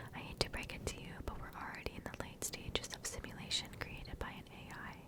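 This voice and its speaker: A fairly quick whisper comes through amid noticeable background noise. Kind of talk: whispered ASMR story reading. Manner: whispered, soft.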